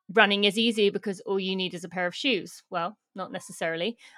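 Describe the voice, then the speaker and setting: In a British accent, the speaker keeps a fairly even intonation, and the sound is dry and close with no echo. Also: woman, very clean recording, silent background. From Britain. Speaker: elite runner and sustainability advocate. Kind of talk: interview conversation.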